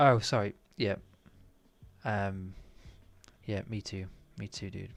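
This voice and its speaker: A man speaks at a very slow pace in a fairly low pitch, his loudness swinging widely. The sound is dry, with no echo. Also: fairly even intonation. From northern England, Manchester. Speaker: 3D artist streamer. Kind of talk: live-stream tutorial chat. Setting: live stream. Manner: casual, rambling. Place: home room. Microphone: current mic okay, thinking of new one; headset.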